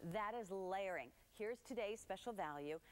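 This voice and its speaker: At a moderate pace, a woman talks with lively intonation and a medium pitch. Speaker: TV shopping channel host. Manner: bubbly, gushing saleswoman, piling up superlatives; chatty and conversational, talking straight to viewers at home. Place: studio. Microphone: lapel.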